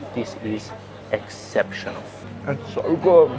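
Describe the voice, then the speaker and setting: The man's pitch shifts in an ordinary way while music plays in the background. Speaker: English teacher. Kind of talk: English-learning vlog narration. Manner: slow, clear.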